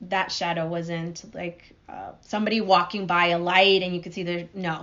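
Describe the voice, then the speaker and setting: A woman talks in a fairly low pitch at a moderate pace. Her intonation is monotone and flat, while her loudness swings widely. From Guatemala. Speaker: podcast guest. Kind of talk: interview answer.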